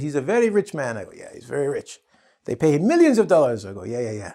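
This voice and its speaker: Very fast speech comes from a man with a Canadian accent. His pitch is fairly high, with a dark, mellow tone. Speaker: English teacher. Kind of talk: tutorial. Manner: animated.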